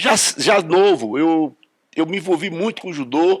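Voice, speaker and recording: This voice belongs to a man. His pitch is high. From Brazil, Rio de Janeiro then Brasília. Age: 70s. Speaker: judo master. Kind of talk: interview testimony. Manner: hesitant, repeats words.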